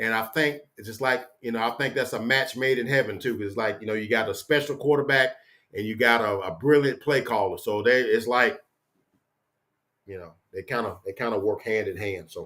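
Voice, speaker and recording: Loud and fairly quick, a man speaks at medium pitch with a bright, sharp tone. The recording is very clean, the background silent. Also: ordinary pitch variation. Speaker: sports fan YouTuber. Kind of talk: casual solo livestream chat. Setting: home office. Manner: casual, rambling with fillers.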